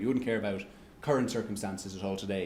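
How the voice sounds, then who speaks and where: A man with an Irish accent, dark and mellow in tone, at a very fast pace amid audible room echo. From Ireland. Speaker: economics researcher giving a lecture. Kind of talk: lecture with audience Q&A. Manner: halting, many restarts and fillers.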